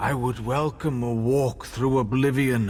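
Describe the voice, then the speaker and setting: A man speaks in a put-on character voice at a medium pitch, with clear background noise behind him. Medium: video game. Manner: weary, wistful.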